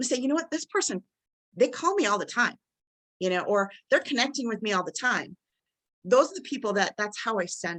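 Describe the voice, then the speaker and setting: The voice moves at a fairly quick pace, with very wide pitch swings, big swings in loudness, and long, frequent pauses. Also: woman, fairly high pitch for a woman. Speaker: college instructor. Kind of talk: webinar presentation. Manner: fast.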